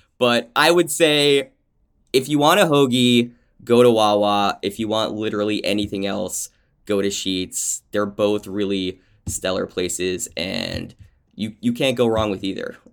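This is a plain, everyday voice from a man with ordinary pitch variation. The recording is very clean, with a silent background. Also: fairly low pitch for a man, fairly slow pace. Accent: American. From New Jersey. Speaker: food and travel writer, content director. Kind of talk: casual chat.

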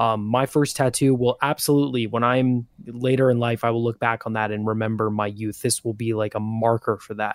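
The speech moves at a fairly quick pace with hardly any pauses. The intonation stays monotone and flat. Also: man, medium pitch for a man, dry, close sound with no echo. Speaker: show contributor. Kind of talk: casual chat.

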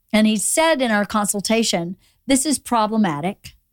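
A woman with an American accent uses a plain, everyday voice, medium pitch, and lively intonation on a very clean recording with a silent background and a dry, close sound with no echo. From Georgia, US South. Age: 50s. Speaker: podcast host. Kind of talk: casual chat. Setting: studio.

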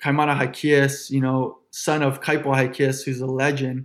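A man with a Hawaiian accent speaks at a fairly high pitch in a monotone, flat intonation. The recording is very clean with a silent background. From Honolulu, Hawaii. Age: 20s. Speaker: professional surfer. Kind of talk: interview conversation.

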